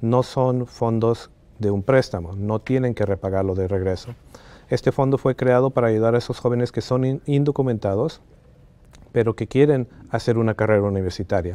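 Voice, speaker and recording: A man's dark, mellow voice moves at a moderate pace with ordinary pitch variation. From Bolivia, moved to the Washington DC area at age 10. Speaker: college access organization founder. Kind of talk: interview. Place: studio. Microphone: lapel.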